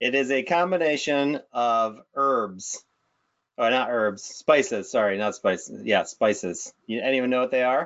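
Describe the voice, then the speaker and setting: At a fairly slow pace, a man speaks in an unremarkable speaking voice, medium in pitch with ordinary pitch variation. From upstate New York. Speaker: higher ed marketing director, podcast co-host. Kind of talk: casual podcast chat.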